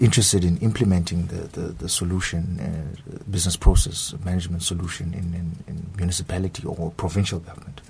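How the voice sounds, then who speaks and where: A man's very deep, low voice with fairly even intonation at a fairly quick pace, over noticeable background noise. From South Africa. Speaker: graduate student. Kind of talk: radio interview. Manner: halting.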